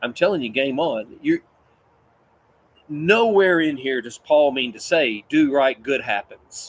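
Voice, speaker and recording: A man with a Kentucky accent speaks at a fairly slow pace with fairly high pitch, lively intonation, and long, frequent pauses. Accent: Kentucky Southern. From West Kentucky, US. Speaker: Bible teacher. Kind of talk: Bible study teaching. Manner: animated, conversational.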